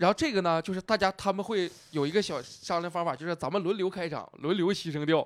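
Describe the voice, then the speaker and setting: A man talks very fast in a high pitch, with hardly any pauses and ordinary pitch variation. He has a northeastern Chinese accent, and the sound is dry and close with no echo. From Northeast China, Nenjiang, Heilongjiang. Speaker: stand-up comedian. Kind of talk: casual chat. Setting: venue in Wuhan.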